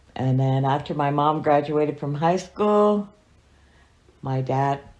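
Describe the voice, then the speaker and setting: Speaking at a fairly slow pace, a woman uses a very deep, low pitch with ordinary pitch variation. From US, Montana, Fort Belknap reservation. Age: 60s. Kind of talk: oral history interview. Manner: halting.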